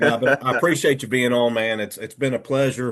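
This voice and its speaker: This is an unremarkable speaking voice: a man at a medium pitch with fairly even intonation. He talks at a fairly quick pace. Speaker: hunting podcast host. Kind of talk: podcast interview host. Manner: casual, friendly.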